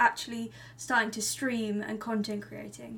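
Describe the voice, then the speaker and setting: There is noticeable background noise in this clip. A woman talks at a fairly slow pace. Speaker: podcast co-host. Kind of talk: casual interview chat.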